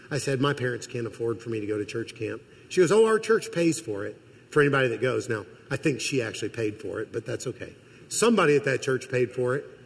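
With an American accent, a man at medium pitch talks at a very fast pace, somewhat breathy, with lively intonation. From Missouri. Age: 50s. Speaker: college president and guest preacher. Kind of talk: sermon. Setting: church.

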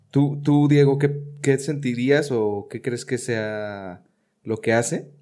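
A man talks at a very slow pace in a dark, mellow tone, with ordinary pitch variation. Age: 30s. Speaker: aspiring comedian, podcast host. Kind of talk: casual chat.

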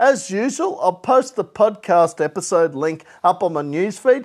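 Speaking at a fairly slow pace, a man with an Australian accent uses lively intonation on a very clean recording with a silent background. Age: 30s. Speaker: music podcast host. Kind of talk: casual solo podcast chat.

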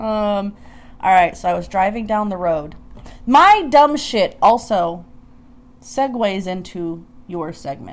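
A woman at medium pitch talks at a very slow pace with lively intonation, big swings in loudness, and long, frequent pauses. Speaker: podcast co-host. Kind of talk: casual chat.

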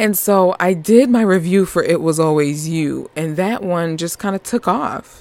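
On a very clean recording with a silent background, a woman at a fairly low pitch speaks in an animated tone at a fairly slow pace with ordinary pitch variation and hardly any pauses. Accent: New York. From Northeast US. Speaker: podcast host. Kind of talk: casual chat.

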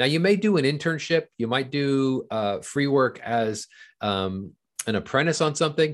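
The voice carries an American accent with very wide pitch swings. Behind it, the background is quiet. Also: man. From Southern California. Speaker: film and TV finance executive. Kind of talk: interview.

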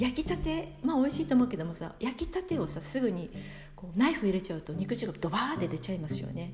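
Over noticeable background noise and audible room echo, a woman talks at a fairly quick pace with lively intonation. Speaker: yoga instructor podcaster. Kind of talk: casual monologue. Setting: studio.

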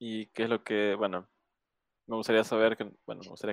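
Recorded with a dry, close sound and no echo, a man speaks at a fairly quick pace. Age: 20s. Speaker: podcast host. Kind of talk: casual interview.

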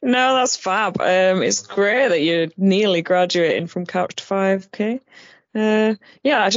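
Speaking very slowly, a woman with a Yorkshire accent uses a medium pitch. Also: ordinary pitch variation. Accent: Barnsley, Yorkshire. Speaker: podcast co-host.

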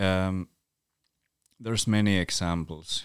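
A man with a Northern Scandinavian accent talks at a fairly slow pace with fairly even intonation, his voice dry and close with no echo. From Sami village in northern Finland. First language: North Sami. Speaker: Sami writer, musician and activist. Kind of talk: interview conversation. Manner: hesitant, many fillers.

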